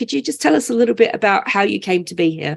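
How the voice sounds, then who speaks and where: Vocal fry runs through this woman's speech. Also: quiet background. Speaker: online community manager and webinar host. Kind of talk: hosting a webinar. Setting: video call.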